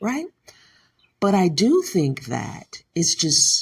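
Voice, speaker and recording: Speaking with an American accent, a woman is heard. She talks at a very slow pace. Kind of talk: commentary talk to camera.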